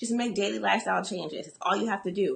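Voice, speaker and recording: Vocal fry runs through a woman's animated tone. She speaks at a very fast pace. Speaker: business coach. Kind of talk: motivational talk.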